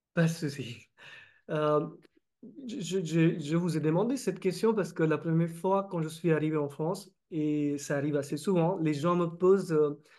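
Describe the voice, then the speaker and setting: A man with a Marathi accent speaks at a fairly slow pace in a high pitch, his dark, mellow tone carrying ordinary pitch variation over a quiet background. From India, Maharashtra (Vidarbha). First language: Marathi (speaking French). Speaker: interviewer, engineer. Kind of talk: interview. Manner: halting, many hesitations.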